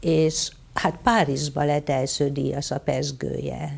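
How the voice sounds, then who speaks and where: The tone is dark and mellow. Vocal fry runs through it. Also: woman. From Hungary, Veszprém county. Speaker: physician and writer. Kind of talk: interview on stage. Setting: stage with audience.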